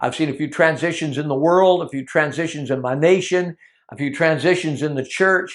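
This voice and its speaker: A man speaks at a fairly high pitch and a moderate pace, in a normal speaking voice. His intonation is fairly even, and the background is quiet. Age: 60s. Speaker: Bible teacher. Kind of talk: teaching sermon.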